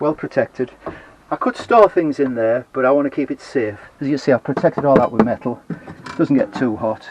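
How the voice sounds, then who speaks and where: There is noticeable background noise behind this man. He has a Teesside accent and a fairly high pitch. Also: ordinary pitch variation, fairly quick pace. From northern England. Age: 70s. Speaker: retired DIY vlogger. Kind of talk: casual video tour. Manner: halting, with many fillers.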